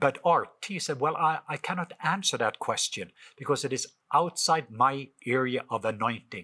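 With a Norwegian accent, a man with a fairly high pitch and a bright, sharp tone speaks at a moderate pace with lively intonation and hardly any pauses. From Norway. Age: 50s. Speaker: author and minister.

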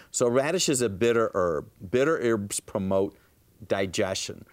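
A man's normal speaking voice at medium pitch, lively in intonation and moderate in pace, in a very clean recording with a silent background. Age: 60s. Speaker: natural health doctor. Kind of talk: TV health talk show.

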